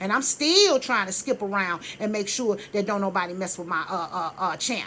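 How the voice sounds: A woman's fairly bright voice at a fairly quick pace, with ordinary pitch variation.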